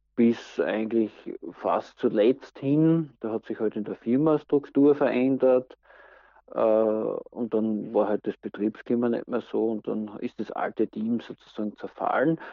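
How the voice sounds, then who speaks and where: This man speaks at a very slow pace with a medium pitch. His intonation stays fairly even. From Austria, Styria. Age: 40s. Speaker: interviewee. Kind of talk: casual interview.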